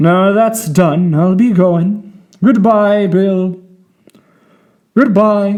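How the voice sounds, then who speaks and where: A man uses a soft-spoken, put-on character voice at a high pitch. He goes at a very slow pace with long, frequent pauses. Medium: audio drama. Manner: soft-spoken but menacing.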